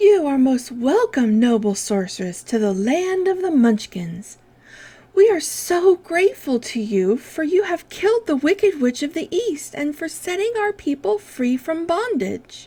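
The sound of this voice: Using a put-on character voice, a woman speaks high at a moderate pace, her pitch swinging very widely.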